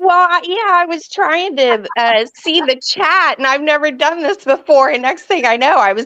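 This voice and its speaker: With a raised, projected voice and very wide pitch swings, a woman speaks at a moderate pace with hardly any pauses. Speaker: viewer joining panel. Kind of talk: casual chat. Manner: halting.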